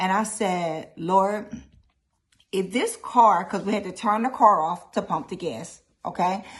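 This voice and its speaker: A somewhat breathy woman's voice at medium pitch, animated in tone, fairly slow, with ordinary pitch variation. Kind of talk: personal testimony.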